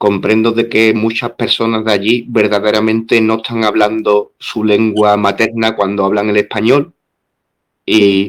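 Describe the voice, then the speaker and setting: A fairly slow delivery in a monotone, flat intonation. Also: man, fairly low pitch for a man. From southern Spain. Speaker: interviewer. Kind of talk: interview.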